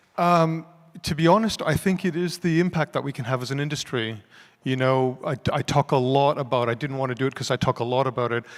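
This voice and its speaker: A man's fairly high voice at a fairly quick pace, with ordinary pitch variation, in a very clean recording with a silent background. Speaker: creative director at a tech company. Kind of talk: Q&A after a talk. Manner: fast; halting, many fillers.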